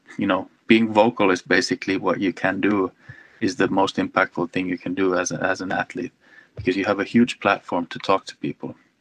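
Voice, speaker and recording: With a plain, everyday voice, a man speaks in fairly even intonation, the sound dry and close with no echo. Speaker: ski teacher. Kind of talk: interview answers.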